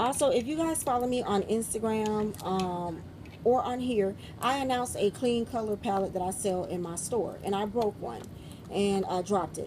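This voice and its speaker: A somewhat breathy woman with a fairly high pitch and a dark, mellow tone. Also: ordinary pitch variation. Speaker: beauty vlogger. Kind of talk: product review vlog. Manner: fast.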